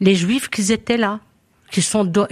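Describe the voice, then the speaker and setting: A woman speaks at medium pitch with fairly even intonation, in a very clean recording with a silent background and a dry, close sound with no echo. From Lebanon. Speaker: community association member. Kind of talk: live radio chat.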